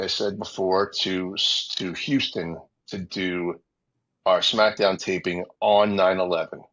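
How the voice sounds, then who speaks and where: A man speaks in a monotone, flat way with a very deep, low pitch. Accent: New York. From New York City, Queens. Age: 40s. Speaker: former TV wrestling producer. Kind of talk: interview storytelling. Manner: casual, many fillers and repetitions.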